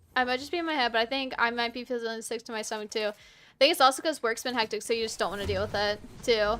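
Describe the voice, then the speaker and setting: Speaking very fast, a fairly high-voiced woman with an American accent has a bright, sharp tone and ordinary pitch variation in a very clean recording with a silent background. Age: 20s. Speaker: video game streamer. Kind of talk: casual chat during live gameplay stream.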